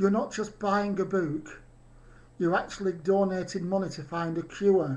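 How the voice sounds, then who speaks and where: A man with a British accent, high pitch, ordinary pitch variation and a moderate pace. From UK. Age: 50s. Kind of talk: video message to an audience.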